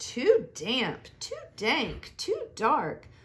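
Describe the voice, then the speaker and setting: A woman's squeaky, high-pitched put-on character voice. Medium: read story.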